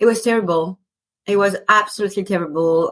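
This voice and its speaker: A woman with a slight French accent speaks at a medium pitch and moderate pace in a very clean recording with a silent background and a dry, close sound with no echo. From France. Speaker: spiritual teacher and business mentor. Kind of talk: podcast interview.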